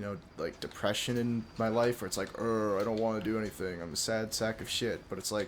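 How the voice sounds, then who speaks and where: A soft-spoken man, fairly low in pitch, at a fairly quick pace with fairly even intonation. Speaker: YouTuber and streamer. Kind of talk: casual monologue vlog. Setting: late at night at home. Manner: quiet, soft-spoken; hesitant, full of fillers.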